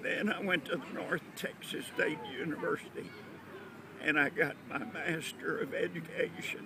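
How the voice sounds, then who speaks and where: A man speaks at a moderate pace with crowd noise in the background. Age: 70s. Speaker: WWII navy veteran and pastor. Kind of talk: oral history interview.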